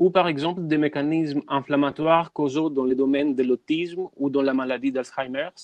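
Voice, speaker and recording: A man with a non-native accent talks at a moderate pace with fairly even intonation, in a dry, close sound with no echo against a quiet background. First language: not French (speaking French). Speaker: biomedical researcher. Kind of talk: webinar presentation.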